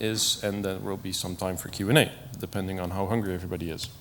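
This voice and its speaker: A man is speaking. His pace is fairly quick. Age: 40s. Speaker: IT professional, conference speaker. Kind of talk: conference talk. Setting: stage with audience. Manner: hesitant, with frequent fillers.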